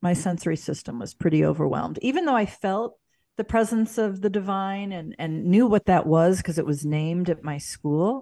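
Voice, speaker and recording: A woman with an American accent speaks in a normal speaking voice at medium pitch and a moderate pace, her intonation lively, on a very clean recording with a silent background. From US Midwest, St. Louis, Missouri. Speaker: spiritual mentor and yoga instructor. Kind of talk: interview.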